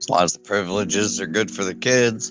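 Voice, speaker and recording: A man puts on a raspy character voice with a fairly low pitch and very wide pitch swings, moving at a fairly quick pace. Faint music plays in the background. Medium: actual play. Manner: gruff, blunt.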